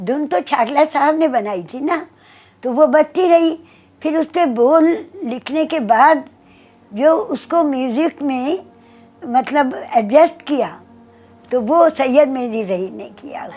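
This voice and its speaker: Over music in the background, a woman speaks in a high pitch with lively intonation. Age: 80s+. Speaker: singer. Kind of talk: interview answer.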